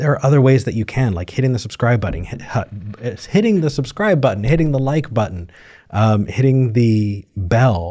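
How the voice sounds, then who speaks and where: Somewhat breathy and dark, mellow in tone, a man speaks at a moderate pace with lively intonation. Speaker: call-in show co-host. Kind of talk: casual chat.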